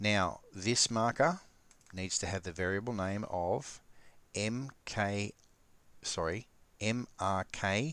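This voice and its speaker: A man's very slow voice with ordinary pitch variation, on a very clean recording with a silent background. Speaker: gaming tutorial youtuber. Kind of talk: tutorial. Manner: casual, hesitant with fillers.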